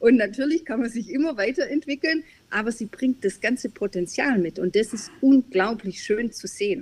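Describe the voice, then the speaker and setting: With lively intonation, a plain, everyday voice comes through with a dry, close sound and no echo. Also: woman, fairly high pitch for a woman, moderate pace. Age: middle-aged. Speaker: business advisory board member and consultant. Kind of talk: interview.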